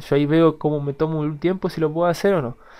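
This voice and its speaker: With a dark, mellow tone, a man's voice comes through over a quiet background. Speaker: gaming YouTuber. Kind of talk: gameplay commentary. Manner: hesitant, repetitive.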